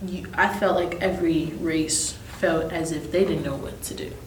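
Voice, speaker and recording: A woman speaks with an American accent. There is noticeable background noise and audible room echo. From Minnesota, Twin Cities. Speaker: singer. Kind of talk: casual interview. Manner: animated.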